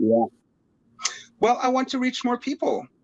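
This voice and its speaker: A man's pitch swings very widely. The sound is dry and close, with no echo. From Norway. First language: Norwegian. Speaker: rapper. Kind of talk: interview. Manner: halting.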